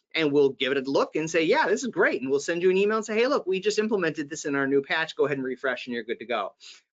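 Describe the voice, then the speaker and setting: Talking very fast with hardly any pauses, a man uses a high pitch and lively intonation. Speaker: vendor presenter. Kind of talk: webinar presentation. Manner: casual, filler-heavy.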